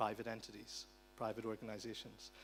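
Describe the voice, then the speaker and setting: This man talks at a fairly quick pace with an Irish accent. His pitch sits fairly low, and vocal fry runs through it. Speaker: conference speaker on digital rights. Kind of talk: conference talk. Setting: conference hall with interpreters.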